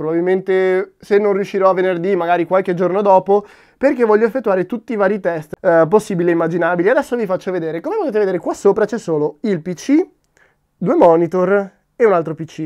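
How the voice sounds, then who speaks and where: A man with a high pitch, ordinary pitch variation and a fairly quick pace against a quiet background. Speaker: tech youtuber. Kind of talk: casual vlog talk to camera.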